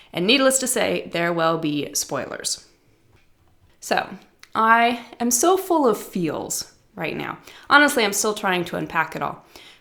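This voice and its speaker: A woman's fairly slow speech with long, frequent pauses, very wide pitch swings and vocal fry. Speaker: podcast host, writing teacher. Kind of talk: scripted podcast monologue.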